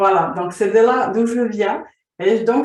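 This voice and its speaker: At a fairly slow pace, a woman talks in a high voice. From Slovakia. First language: Slovak (speaking French). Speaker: vision coach. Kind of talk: interview.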